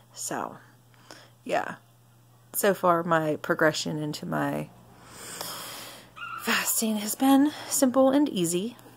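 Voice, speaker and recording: At a very slow pace, a woman speaks with long, frequent pauses and very wide pitch swings around a medium pitch. Noticeable background noise runs underneath. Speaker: vlogger. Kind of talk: casual monologue vlog. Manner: rambling, halting with restarts.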